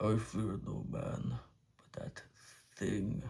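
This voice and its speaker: In a put-on character voice, a man sounds raspy at a fairly low pitch. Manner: ominous, dramatic.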